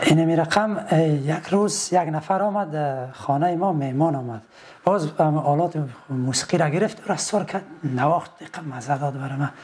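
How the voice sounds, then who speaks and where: A man with a fairly high pitch speaks moderately fast, his pitch varying in an ordinary way, with noticeable background noise present. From Afghanistan, Badakhshan (Shahnan district). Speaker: folk singer and musician. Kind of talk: interview. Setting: studio. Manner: halting.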